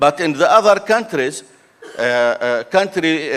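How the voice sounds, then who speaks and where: A fairly high-pitched man's voice with an Arabic accent and ordinary pitch variation. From Jordan. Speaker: renewable energy developer, panelist. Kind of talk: panel discussion. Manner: halting, many fillers.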